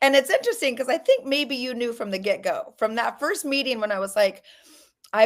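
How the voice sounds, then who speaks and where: A woman with an American accent talks at a fairly quick pace in an ordinary speaking voice. Her intonation is lively. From US, Colorado. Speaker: author. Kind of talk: casual interview.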